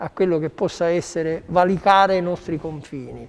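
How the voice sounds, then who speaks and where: The man's high voice, fairly slow in tempo, varies in pitch in an ordinary way. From Sicily. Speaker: chef. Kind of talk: cooking demonstration. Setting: studio.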